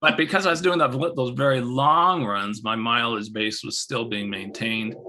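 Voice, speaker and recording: At a moderate pace, a man with a medium-pitched voice speaks with lively intonation. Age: 60s. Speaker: ultra runner. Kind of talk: interview. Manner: halting.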